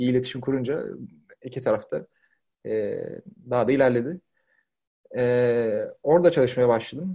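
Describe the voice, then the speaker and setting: A fairly quick male voice of medium pitch, with a dark, mellow tone. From Turkey, Izmir (Karşıyaka). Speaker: product design lead. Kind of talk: casual interview.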